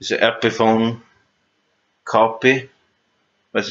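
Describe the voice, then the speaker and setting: A man with a non-native accent speaks at a fairly slow pace. His pitch sits at a medium level. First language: not English. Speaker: guitar hobbyist youtuber. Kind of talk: casual gear rundown video. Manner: halting, many fillers and restarts.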